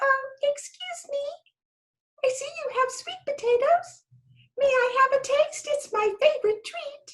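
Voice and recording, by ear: A put-on character voice, squeaky and extremely high, at a fairly slow pace with long, frequent pauses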